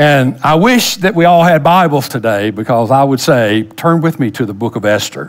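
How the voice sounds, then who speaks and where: A man's voice over a quiet background. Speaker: pastor. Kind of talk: sermon. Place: church. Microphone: headset.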